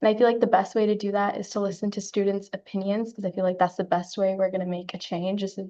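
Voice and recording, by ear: A woman at medium pitch, with a dark, mellow tone and a fast pace.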